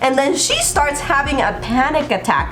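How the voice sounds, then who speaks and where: A woman speaks in an animated tone. Audible room echo and noticeable background noise fill the recording. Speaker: TV show reviewer. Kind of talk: video review commentary.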